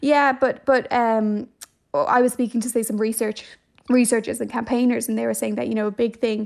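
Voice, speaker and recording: A woman with a Dublin accent, fairly high pitch, fairly quick pace. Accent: Dublin Irish. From Ireland, Dublin. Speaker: journalist. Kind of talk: radio interview.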